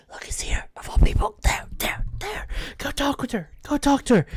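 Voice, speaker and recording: A whispered put-on character voice at a moderate pace. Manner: hushed, urgent whisper.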